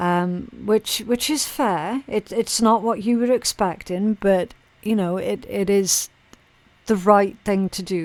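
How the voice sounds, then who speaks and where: A woman speaks at a very slow pace. Her pitch sits at medium, with ordinary variation. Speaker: tarot reader. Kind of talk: tarot reading. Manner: stutters when absorbed.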